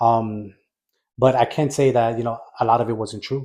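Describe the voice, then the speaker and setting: In a New York accent, a man speaks at a medium pitch with a dark, mellow tone and monotone, flat intonation, on a very clean recording with a silent background. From New York, the Bronx. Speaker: military veteran and Spanish teacher. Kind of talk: podcast interview. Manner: halting, many fillers.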